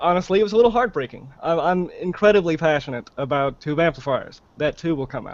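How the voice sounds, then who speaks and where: A man with a high voice talks at a very fast pace with hardly any pauses. His intonation is lively. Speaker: guest expert on amplifiers. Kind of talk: casual explanatory chat.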